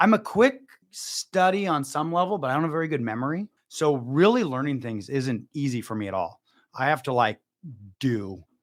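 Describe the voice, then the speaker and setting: Loud and with very wide pitch swings, a man speaks. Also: fairly high pitch for a man, moderate pace, very clean recording, silent background. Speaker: entrepreneur. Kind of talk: podcast interview.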